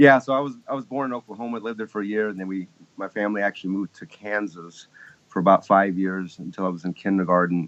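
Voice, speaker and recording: Recorded dry and close with no echo, the speaker has an American accent, ordinary pitch variation, and big swings in loudness. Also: man. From US South, Texas (Lake Jackson, south of Houston). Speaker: keyboardist. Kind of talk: interview.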